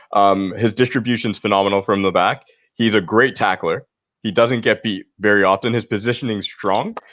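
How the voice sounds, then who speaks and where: Against a quiet background, a man with a Canadian accent and an ordinary speaking voice talks at a fairly quick pace, with a fairly low pitch and fairly even intonation. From Canada. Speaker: football podcast panelist. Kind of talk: casual chat.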